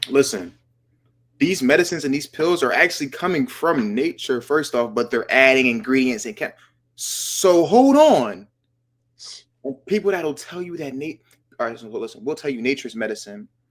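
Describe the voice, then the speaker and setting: A man with a fairly high pitch speaks at a moderate pace in an animated tone, his intonation lively and his loudness swinging widely. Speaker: podcast host. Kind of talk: casual chat.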